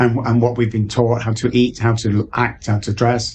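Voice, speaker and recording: The voice carries an English accent. It sounds somewhat breathy. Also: man. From England. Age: 60s. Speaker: addiction recovery coach. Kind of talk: podcast interview.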